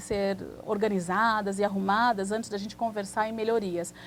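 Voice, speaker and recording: A woman with a fairly high, somewhat breathy voice speaks at a moderate pace. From Brazil, Santos (São Paulo coast). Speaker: immigration lawyer. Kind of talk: TV interview.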